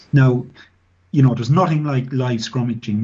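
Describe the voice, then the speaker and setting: A somewhat breathy man's voice at a medium pitch. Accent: Irish Midlands. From Ireland, Midlands (County Offaly). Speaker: former professional rugby player and scrum coach. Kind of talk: interview. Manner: halting, many fillers.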